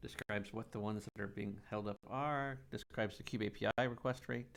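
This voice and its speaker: On a very clean, dry, close recording with a silent background and no echo, a man with a fairly low pitch and vocal fry talks at a fairly quick pace with lively intonation. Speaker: tech livestream host. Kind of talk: live technical demo stream. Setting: live stream. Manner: fast.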